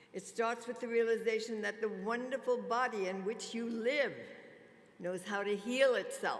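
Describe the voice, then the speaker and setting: With a fairly high pitch, a woman talks at a fairly slow pace and with fairly even intonation, with noticeable background noise and audible room echo. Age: 90s. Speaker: spa industry pioneer. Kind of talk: conference keynote speech. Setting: stage with audience.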